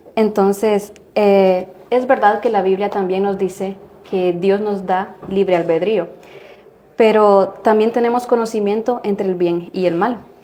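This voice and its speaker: Fairly slow and fairly even in intonation, a woman speaks at a medium pitch. Noticeable background noise runs underneath. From Guatemala. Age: 20s. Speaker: religion student. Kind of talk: religious discussion.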